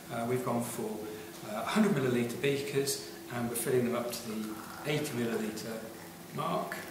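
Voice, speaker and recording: A man talks at a moderate pace amid noticeable background noise and audible room echo. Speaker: science teacher. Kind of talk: tutorial. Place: classroom. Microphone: camera far.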